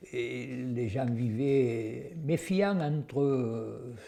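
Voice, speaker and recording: This man has a medium pitch and a dark, mellow tone that is somewhat breathy. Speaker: WWII witness. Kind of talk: testimony. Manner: halting.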